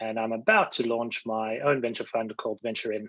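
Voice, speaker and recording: In a South African accent, a man speaks at a medium pitch and a moderate pace with monotone, flat intonation. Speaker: venture investor. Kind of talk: panel discussion.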